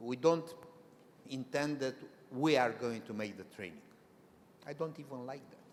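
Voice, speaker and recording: With a non-native accent and a medium pitch, a man speaks at a moderate pace with ordinary pitch variation, big swings in loudness, long, frequent pauses and audible room echo. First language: not English. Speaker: presenter at professional consultancy association meeting. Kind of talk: conference presentation. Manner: halting, with many restarts.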